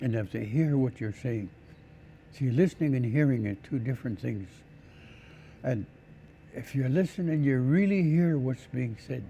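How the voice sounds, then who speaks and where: Pausing long and often, a man with a medium pitch and a dark, mellow tone sounds somewhat breathy, with lively intonation. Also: moderate pace. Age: 80s+. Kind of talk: interview.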